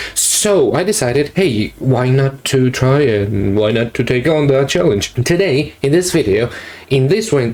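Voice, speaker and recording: Speaking at a fairly slow pace, a man keeps a medium pitch. His loudness stays very even. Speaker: art YouTuber. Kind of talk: casual vlog commentary. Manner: halting, self-correcting.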